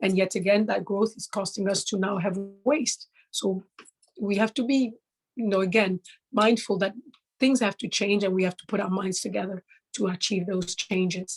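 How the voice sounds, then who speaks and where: A woman speaks at a fairly quick pace with a medium pitch and fairly even intonation. Her voice is somewhat breathy, and the sound is dry and close with no echo. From Central Africa (DR Congo, Kasai). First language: Tshiluba (Congolese native language). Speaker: traditional monarch and environmental speaker. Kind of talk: interview. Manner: halting, with frequent fillers.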